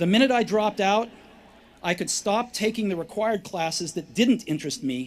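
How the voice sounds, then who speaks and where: A man's voice with lively intonation. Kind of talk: commencement speech. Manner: conversational, relaxed, with pauses.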